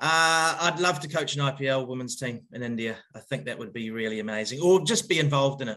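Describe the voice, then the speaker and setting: With hardly any pauses, a man with a New Zealand accent talks at a fairly quick pace in a bright, sharp tone with lively intonation. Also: fairly high pitch for a man. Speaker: cricket head coach. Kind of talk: interview. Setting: remote call. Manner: casual, hesitant fillers.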